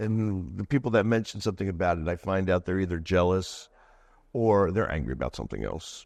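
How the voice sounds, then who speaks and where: This man speaks in a Philadelphia accent with a very deep, low pitch and ordinary pitch variation. His pace is fairly quick, and the background is quiet. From Delaware County, Pennsylvania (Philadelphia area). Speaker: sports superfan and anti-bullying speaker. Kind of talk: podcast interview.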